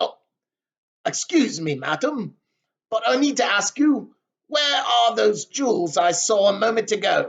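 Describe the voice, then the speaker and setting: A put-on character voice growls at a fairly high pitch. It moves at a moderate pace with long, frequent pauses. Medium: read story. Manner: barking, snarling.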